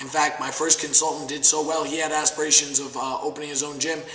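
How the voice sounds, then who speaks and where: Noticeable background noise sits behind a man with a fairly high voice. He moves at a fairly quick pace with monotone, flat intonation. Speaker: martial arts gym owner and pro fighter. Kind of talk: testimonial.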